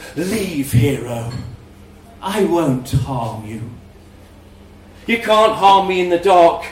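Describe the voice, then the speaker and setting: In a put-on character voice, a man speaks high for his sex at a very slow pace, with long, frequent pauses and a slight echo. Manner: amused, menacing.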